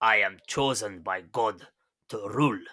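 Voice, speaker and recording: In a put-on character voice with a Russian accent, a man speaks at medium pitch and a moderate pace. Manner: pompous, self-important.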